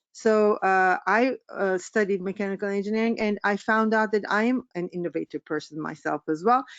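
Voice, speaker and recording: Speaking with a Turkish accent, a woman keeps a medium pitch, a moderate pace and ordinary pitch variation, with hardly any pauses. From Turkey. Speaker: business coach. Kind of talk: webinar presentation. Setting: online webinar. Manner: halting, many fillers.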